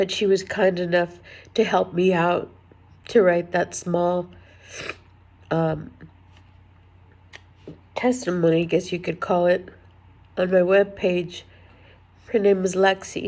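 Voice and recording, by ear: A woman talks slowly in a fairly low voice with a slightly mellow tone and little pitch movement. She leaves long, frequent pauses.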